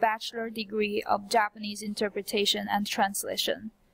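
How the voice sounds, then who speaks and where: A woman with a fairly high voice speaks at a moderate pace. Her voice is somewhat breathy. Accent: Chinese. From China. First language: Chinese. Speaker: translation student. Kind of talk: scripted presentation. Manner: formal.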